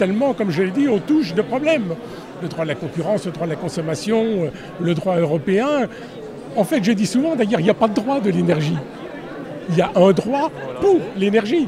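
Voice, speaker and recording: Against crowd noise, a man speaks at a moderate pace with a high pitch, very wide pitch swings, and long, frequent pauses. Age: 70s. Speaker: law book author and award winner. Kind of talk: short interview.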